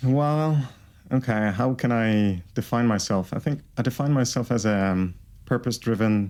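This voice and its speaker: Delivered at a moderate pace with a French Canadian accent, the speech has very even loudness and ordinary pitch variation on a very clean recording with a silent background. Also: man. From Quebec, Canada. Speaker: entrepreneur and plant scientist. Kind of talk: casual interview.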